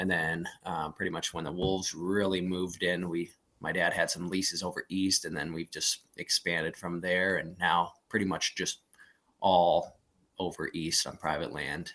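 Very deep and low in pitch, a man with an American accent speaks in a bright, sharp tone at a moderate pace with monotone, flat intonation. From western Montana (Plains). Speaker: hunting outfitter and guide. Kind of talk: casual chat.

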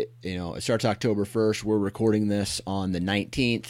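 A man with an American accent and a fairly low pitch talks at a moderate pace in a normal speaking voice, in a very clean recording with a silent background. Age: 30s. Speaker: podcast host. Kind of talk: casual interview.

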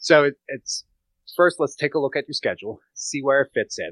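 A man with an American accent speaks at a moderate pace and a fairly high pitch. His tone is bright and sharp, and the sound is dry and close with no echo. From Pennsylvania. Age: 30s. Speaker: fitness and nutrition coach. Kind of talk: casual interview chat.

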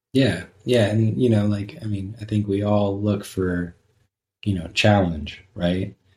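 A somewhat breathy man's voice, fairly low in pitch, with fairly even intonation. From Southern California. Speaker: outdoor gear business owner. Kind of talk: casual interview chat.

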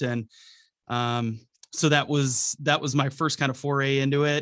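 A man with a Wisconsin accent speaks at medium pitch in a monotone, flat intonation. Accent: Upper Midwest (Wisconsin). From Wisconsin, Milwaukee. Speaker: radio host and bow hunter. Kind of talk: casual chat.

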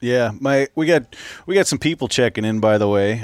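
A man speaks at medium pitch with a Minnesota accent and ordinary pitch variation. The sound is dry and close, with no echo. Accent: Minnesota, upper Midwest. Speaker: podcast host. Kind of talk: casual interview chat.

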